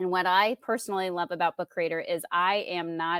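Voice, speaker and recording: A woman with an American accent and an unremarkable speaking voice talks at medium pitch with fairly even intonation, in a very clean recording with a silent background and a dry, close sound with no echo. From Indiana. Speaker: tech coach. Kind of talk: casual interview chat.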